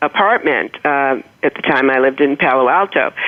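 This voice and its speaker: At a moderate pace, a woman speaks with a slight Boston accent. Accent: slight Boston accent, non-rhotic. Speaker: motivational humorist, author. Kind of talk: interview storytelling.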